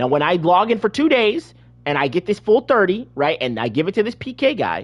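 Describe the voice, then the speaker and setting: A loud man's voice, fairly quick in pace, with very wide pitch swings. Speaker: gaming video creator. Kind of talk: gameplay tutorial. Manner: halting, many repetitions.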